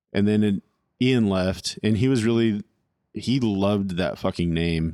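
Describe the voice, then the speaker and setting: A man with an American accent and a normal speaking voice, fairly low in pitch, with ordinary pitch variation, a moderate pace and very even loudness, on a very clean recording with a silent background and a dry, close sound with no echo. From California. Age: 30s. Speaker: drummer. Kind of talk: casual chat. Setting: home recording.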